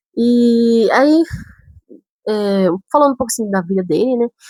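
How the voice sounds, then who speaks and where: In a northern Brazilian accent, a woman speaks at a fairly high pitch with very wide pitch swings, the sound dry and close with no echo. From Brazil, São Paulo city. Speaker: vlogger. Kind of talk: casual storytelling vlog.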